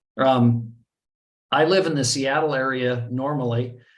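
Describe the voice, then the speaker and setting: A man's medium-pitched voice in an American accent, with audible room echo. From US. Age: 60s. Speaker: online trading marketer. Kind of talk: webinar presentation. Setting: video call. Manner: hesitant, many fillers.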